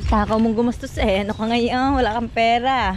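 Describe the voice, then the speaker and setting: The speech moves at a moderate pace. Noticeable background noise is present. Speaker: vlogger. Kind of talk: casual vlog chat.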